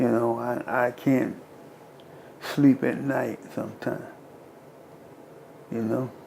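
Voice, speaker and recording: This man speaks at a very slow pace, medium in pitch, with monotone, flat intonation and noticeable background noise behind him. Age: 70s. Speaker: artist. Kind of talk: interview testimony.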